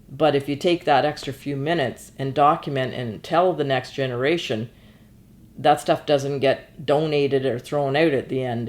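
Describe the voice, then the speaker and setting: At a moderate pace, a woman with a Canadian accent speaks in a very deep, low voice with fairly even intonation. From Ontario, Canada. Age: 60s. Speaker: genealogist and entrepreneur. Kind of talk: interview. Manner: halting, with many fillers and repetitions.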